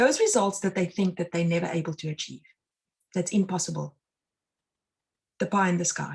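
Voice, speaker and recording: In a South African accent, a woman talks at a medium pitch. Her delivery is fairly quick and somewhat breathy. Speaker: mind and success consultant, meditation instructor. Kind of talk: live online talk.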